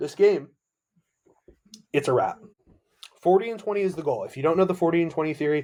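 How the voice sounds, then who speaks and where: A man's dark, mellow voice, high in pitch for a man, with ordinary pitch variation, a very fast pace and long, frequent pauses. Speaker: sports podcast host. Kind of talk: solo sports podcast talk. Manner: animated.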